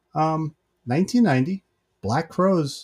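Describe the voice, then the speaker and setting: A somewhat breathy male voice, dry and close with no echo, in a very clean recording with a silent background. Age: 50s. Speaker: podcast co-host. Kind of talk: casual chat.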